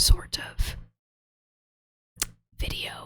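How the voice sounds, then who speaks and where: A woman is whispering. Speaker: ASMR artist drawing. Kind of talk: ASMR drawing chat. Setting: military barracks room at desk. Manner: soft-spoken, not whispering.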